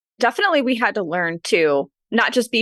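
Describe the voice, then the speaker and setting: Pitch swings very widely as this woman speaks with a Midwestern accent. She moves at a fairly quick pace. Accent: general American, Midwestern. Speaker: author and podcaster. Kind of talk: casual interview chat.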